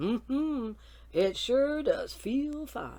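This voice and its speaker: A woman puts on a character voice. The recording is very clean, with a silent background. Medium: read story. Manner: hearty, confident.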